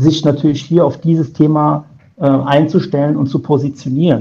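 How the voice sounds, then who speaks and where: Somewhat breathy and dark, mellow in tone, a man talks at a fairly slow pace with a fairly high pitch. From Germany. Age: 50s. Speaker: insurance broker. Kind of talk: interview. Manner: hesitant with many filler sounds.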